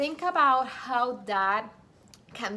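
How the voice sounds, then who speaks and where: A woman speaks with a non-native accent. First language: not English. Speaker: Bible study vlogger. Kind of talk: casual Bible study tutorial.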